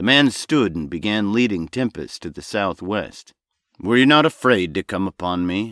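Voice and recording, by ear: Against a quiet background, someone is reading aloud in a natural voice with lively intonation.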